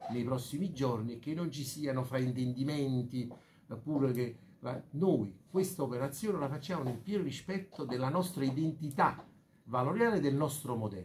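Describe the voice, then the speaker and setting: Delivered at a moderate pace, the somewhat breathy voice has lively intonation over light background noise. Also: man. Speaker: bank president. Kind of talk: press conference speech. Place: meeting room.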